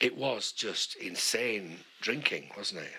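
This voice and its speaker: A man speaks over noticeable background noise. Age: 50s. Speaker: podcast co-host. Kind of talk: casual chat. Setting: at home, in a small room.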